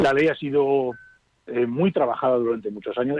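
Using an ordinary speaking voice, a man talks fairly quickly at a medium pitch. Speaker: palliative care doctor. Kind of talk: radio interview.

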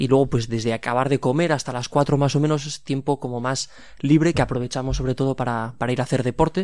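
Using an ordinary speaking voice, a man talks at a fairly quick pace with fairly even intonation. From Pamplona, Navarre, Spain. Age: 20s. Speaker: seminarian. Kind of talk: radio interview.

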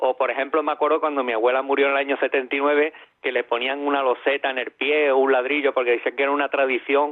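In a normal speaking voice, a man talks at a fairly quick pace with fairly high pitch. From Ceuta. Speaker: caller. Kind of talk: phone-in chat.

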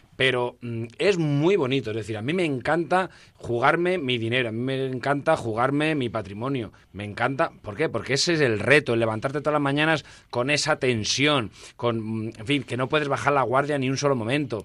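The tone is animated and the pace moderate. The recording is very clean, with a silent background. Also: man, medium pitch for a man, ordinary pitch variation. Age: 50s. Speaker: entrepreneur and shop owner. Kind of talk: interview.

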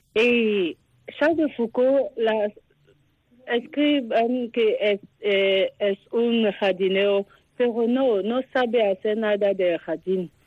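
A woman's fairly high voice with a French accent, very slow pace, ordinary pitch variation and very even loudness. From Ivory Coast. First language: French (speaking Spanish). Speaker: contemplative nun. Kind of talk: phone interview. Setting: phone call. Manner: halting.

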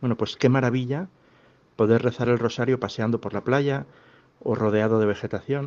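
With a Castilian accent, a man speaks at medium pitch and a moderate pace. His speech has long, frequent pauses. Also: ordinary pitch variation. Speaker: parish priest. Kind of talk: pastoral talk.

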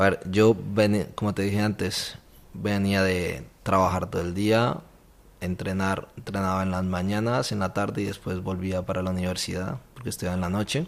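A man's very deep, low voice holds fairly even intonation and moves at a moderate speed. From Colombia. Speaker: university volunteer coordinator. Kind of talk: testimony interview. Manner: halting, with repeated words.

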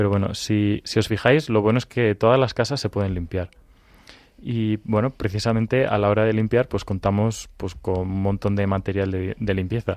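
A man's normal speaking voice, fairly low in pitch, at a moderate pace with fairly even intonation and a dry, close sound with no echo. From Madrid, Spain. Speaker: children's ministry volunteer. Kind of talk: children's radio programme.

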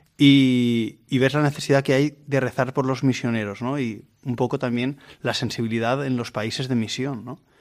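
An unremarkable speaking voice from a man at medium pitch, moderate in pace, with fairly even intonation. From Valencia region, Spain (Vilamarchant). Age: 30s. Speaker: seminarian. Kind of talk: radio interview. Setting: radio recording in a seminary.

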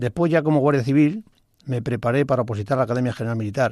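A man speaks at a medium pitch with a dark, mellow tone and ordinary pitch variation. The recording is very clean, with a silent background. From Spain (Badajoz and Toledo provinces). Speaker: retired Civil Guard officer. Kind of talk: radio interview. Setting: radio studio.

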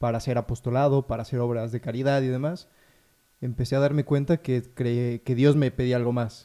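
A man of medium pitch speaks with fairly even intonation and a dark, mellow tone. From Mexico, Puebla. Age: 20s. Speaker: novice in religious order. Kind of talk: radio discussion.

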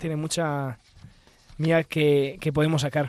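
A man talks at a moderate pace. The background is silent and the recording very clean. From Italy. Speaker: religious brother. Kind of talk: radio discussion. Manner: halting.

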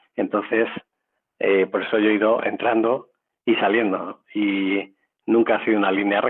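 Flat and monotone in intonation, a man with a fairly low pitch talks at a moderate pace with long, frequent pauses. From Madrid, Spain. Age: 50s. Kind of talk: radio interview testimony. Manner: hesitant, many fillers.

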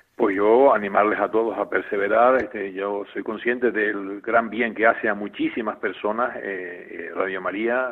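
Over noticeable background noise, a man speaks at a fairly low pitch in a monotone, flat way. His pace is fairly slow, with hardly any pauses. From Canary Islands, La Palma. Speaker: bishop. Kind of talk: interview.

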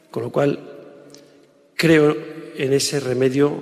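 Over noticeable background noise, a man speaks with a fairly high voice. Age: 50s. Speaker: public speaker. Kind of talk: lecture. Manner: halting.

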